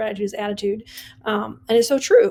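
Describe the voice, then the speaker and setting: The voice has a dark, mellow tone and speaks with an American accent. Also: woman. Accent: Wisconsin accent, comes out at times. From US Midwest, Wisconsin. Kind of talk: casual podcast monologue. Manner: casual, many fillers.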